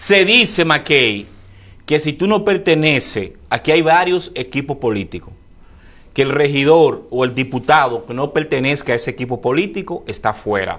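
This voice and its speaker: Using an ordinary speaking voice, a man talks at a moderate pace with a fairly high pitch. His intonation is lively. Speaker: political interview host. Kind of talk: interview.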